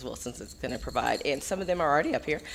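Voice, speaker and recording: Noticeable background noise runs under the recording. A woman talks at a very fast pace. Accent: Texas. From Texas. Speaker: school administrator presenting awards. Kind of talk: award presentation at public meeting.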